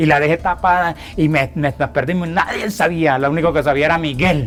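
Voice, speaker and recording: Using an ordinary speaking voice, a man talks at a fairly quick pace with a fairly high pitch, fairly even intonation and very even loudness in a very clean recording with a silent background. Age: 60s. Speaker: land rights activist, displaced farmer. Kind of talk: testimony.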